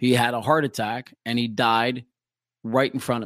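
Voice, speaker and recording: A man with a plain, everyday voice speaks at a medium pitch with fairly even intonation. The recording is very clean, the background silent. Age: 40s. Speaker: former radio DJ. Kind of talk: casual interview conversation. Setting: studio.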